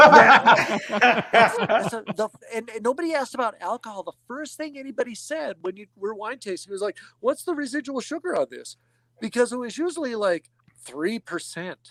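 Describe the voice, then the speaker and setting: A man's extremely high, bright and sharp voice, raised and projected, with lively intonation at a moderate pace and a dry, close sound with no echo. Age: 50s. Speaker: winemaker. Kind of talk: casual chat. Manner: animated.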